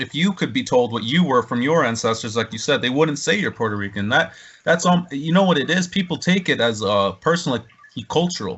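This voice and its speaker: A man with a fairly high voice talks fairly quickly, his pitch swinging very widely. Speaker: podcast host. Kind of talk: casual podcast conversation.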